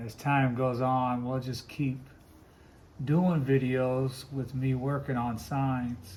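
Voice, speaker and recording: Somewhat breathy and very slow, a man talks at a medium pitch with fairly even intonation, and audible room echo surrounds his voice. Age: 60s. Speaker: woodcarver and Bible teacher. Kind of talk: casual vlog talk while working. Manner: casual, rambling.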